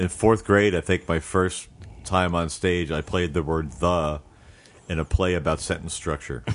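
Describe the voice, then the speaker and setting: A booming male voice, very deep and low in pitch, with vocal fry, fairly even intonation, and a moderate pace. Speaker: comedian and voice actor. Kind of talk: casual chat, interview. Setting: studio. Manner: announcer-style radio voice.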